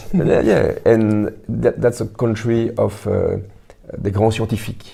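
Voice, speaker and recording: The speaker talks at a fairly slow pace in a French accent. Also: man. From Belgium. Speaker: writer and actor. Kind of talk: interview. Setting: Belgian embassy. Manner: halting, many hesitations.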